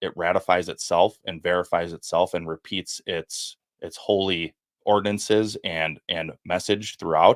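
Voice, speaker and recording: Very deep and low in pitch, a man with a Wisconsin accent speaks with fairly even intonation in a very clean recording with a silent background and a dry, close sound with no echo. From Wisconsin, US Midwest. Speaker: former FBI agent and whistleblower. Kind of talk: podcast interview testimony. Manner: halting, repeats words.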